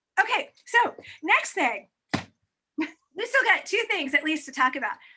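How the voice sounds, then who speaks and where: A woman projects a raised voice with a bright, sharp tone at an extremely high pitch. Her pitch swings very widely while she talks at a fairly slow pace. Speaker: author. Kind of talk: casual online book chat host.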